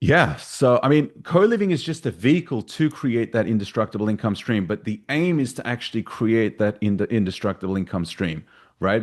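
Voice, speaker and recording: Lively intonation from a man with an Australian accent and medium pitch, set against a quiet background. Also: moderate pace, hardly any pauses. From Australia, Sydney. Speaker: real estate investor. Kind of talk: podcast interview.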